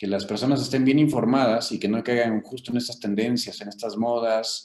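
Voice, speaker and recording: This man has a Mexican accent and a medium pitch. His pitch varies in an ordinary way. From Mexico, Querétaro. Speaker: physician, rheumatologist. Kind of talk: interview. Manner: halting, many fillers.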